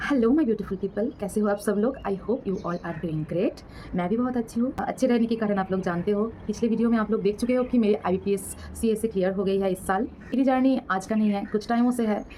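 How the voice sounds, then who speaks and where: A woman with a Bengali accent talks in a fairly high voice, with hardly any pauses. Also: ordinary pitch variation. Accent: Bengali-accented Hindi. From West Bengal, India. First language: Bengali (speaking Hindi). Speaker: banking exam vlogger. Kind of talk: casual advice vlog. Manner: halting, many fillers.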